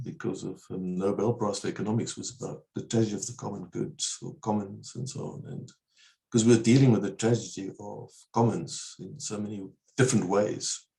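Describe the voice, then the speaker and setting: A man with a dark, mellow tone speaks at medium pitch, somewhat breathy, over a quiet background. His loudness swings widely, and his pitch varies in an ordinary way. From South Africa, Eastern Cape. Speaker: researcher; interview guest. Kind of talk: webinar Q&A discussion. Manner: fast. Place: home room. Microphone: earbuds.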